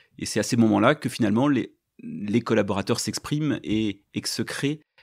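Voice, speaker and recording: A man with fairly low pitch is heard on a very clean recording with a silent background. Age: 50s. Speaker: company director. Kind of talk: podcast interview. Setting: on location at company premises. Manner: halting, with many hesitations.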